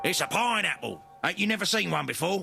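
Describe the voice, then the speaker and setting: With faint music in the background, a man does a put-on character voice at a high pitch and a very fast pace. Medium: video game. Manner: squawking, gruff.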